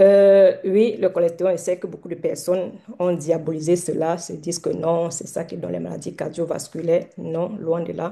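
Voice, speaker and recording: A woman with a dark, mellow tone and vocal fry speaks in a flat monotone at a moderate pace and a fairly low pitch. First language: not French (mother tongue other) (speaking French). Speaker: doctor giving a health talk. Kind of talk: online lecture / live health talk. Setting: Zoom livestream, also on TikTok. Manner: halting, many hesitations.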